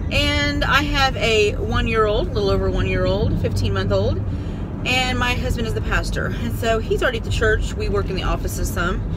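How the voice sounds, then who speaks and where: Loud background noise surrounds the recording. A woman speaks at a fairly quick pace. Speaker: parent vlogger. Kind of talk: casual vlog chat. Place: car. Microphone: phone near.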